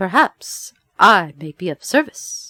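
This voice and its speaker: A put-on character voice at a fairly slow pace. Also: woman. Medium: read story. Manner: gentle, dignified.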